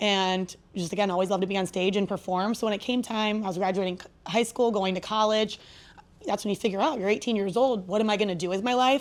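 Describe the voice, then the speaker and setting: On a very clean recording with a silent background, a woman speaks very fast in an energetic tone at a medium pitch with ordinary pitch variation. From Ohio, Akron area (US Midwest). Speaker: sports stadium host and emcee. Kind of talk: podcast interview.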